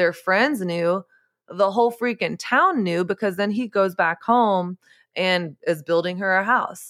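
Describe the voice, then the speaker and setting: In an American accent, an unremarkable speaking voice moves at a fairly slow pace with ordinary pitch variation and very even loudness, dry and close with no echo on a very clean recording with a silent background. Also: woman, medium pitch for a woman. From Texas. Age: 30s. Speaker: author and podcaster. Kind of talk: podcast interview.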